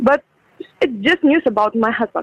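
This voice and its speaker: With a Ukrainian accent, a woman talks with ordinary pitch variation. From Ukraine. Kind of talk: phone interview. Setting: video call.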